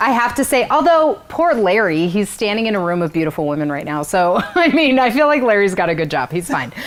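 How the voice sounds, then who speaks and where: A woman speaks loudly and at a fairly quick pace with hardly any pauses, in an animated tone at medium pitch. Her pitch swings very widely, with noticeable background noise. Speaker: event host. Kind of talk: live event hosting. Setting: virtual gala livestream.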